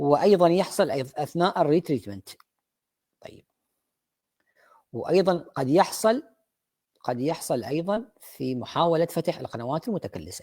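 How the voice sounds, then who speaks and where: A fairly high-pitched man with an Iraqi accent and a dark, mellow tone, fairly slow with long, frequent pauses, lively intonation and big swings in loudness, on a very clean recording with a silent background. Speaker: dentist lecturer. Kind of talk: lecture. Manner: halting, many fillers.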